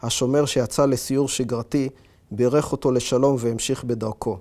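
A man's dark, mellow voice, monotone and flat, at a fairly slow pace against a quiet background. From Israel. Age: 40s. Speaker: author. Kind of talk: reading aloud; interview monologue. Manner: hesitant with fillers. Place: home room. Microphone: lapel.

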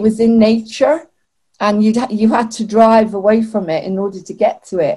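Over a quiet background, a woman with a fairly high, somewhat breathy voice and a dark, mellow tone speaks at a moderate pace. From Israel. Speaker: online TV show host. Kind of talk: interview. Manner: animated. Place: home room. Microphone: webcam.

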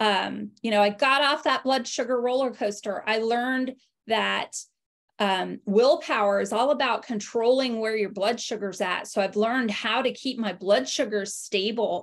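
Against a quiet background, a woman talks at a moderate pace in a fairly high pitch with ordinary pitch variation. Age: 40s. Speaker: health coach and network marketing affiliate. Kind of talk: online webinar presentation. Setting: video call. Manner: hesitant with fillers. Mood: warm, personal testimony. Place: home room. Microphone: video call.

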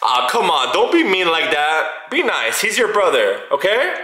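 A man talks at a moderate pace with very even loudness. There is audible room echo. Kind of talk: casual vlog chat. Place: home room. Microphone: phone near.

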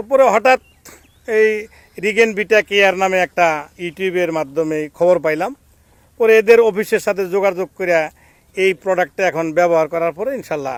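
This man has a high-pitched voice. The sound is dry and close, with no echo. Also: ordinary pitch variation. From Bangladesh, Jamalpur. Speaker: engineer and fish farmer. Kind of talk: interview testimony.

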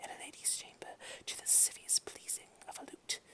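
Whispering at a moderate pace, a woman speaks. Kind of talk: ASMR whispered dramatic poetry reading. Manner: whispered, soft.

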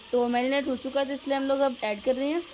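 A woman at a fast pace, high-pitched with little pitch movement, over clear background noise.

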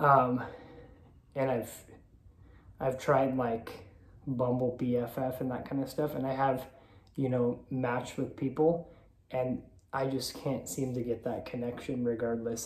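Amid audible room echo, a man speaks at a fairly slow pace and medium pitch, somewhat breathy and with a monotone, flat intonation. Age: 30s. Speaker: vlogger. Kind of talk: personal confessional vlog. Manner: halting, many filler ums. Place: home room. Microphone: phone near.

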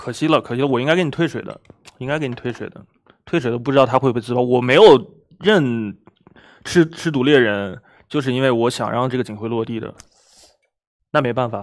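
Over a quiet background, a man speaks at a fairly quick pace with long, frequent pauses, ordinary pitch variation and big swings in loudness. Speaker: game player. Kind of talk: game discussion. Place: studio. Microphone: headset.

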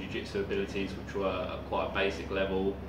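Speech at a fairly quick pace comes through noticeable background noise. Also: man. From Essex, England. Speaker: martial arts camp guest. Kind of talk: testimonial talk to camera. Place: gym. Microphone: camera far.

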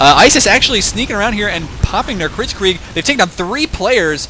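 A male voice with very wide pitch swings over noticeable background noise. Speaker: esports shoutcaster. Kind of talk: live commentary. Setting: home recording at apartment. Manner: animated.

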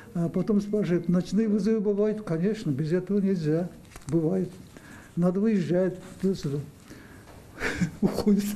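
Moderate pacing with long, frequent pauses and fairly even intonation, over light background noise. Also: man, high pitch for a man. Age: 70s. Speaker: rural doctor. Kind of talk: interview answer. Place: office. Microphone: handheld.

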